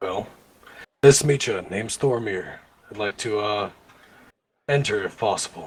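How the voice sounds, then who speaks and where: A man puts on a raspy character voice, fairly low in pitch, moving at a moderate pace with long, frequent pauses. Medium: actual play.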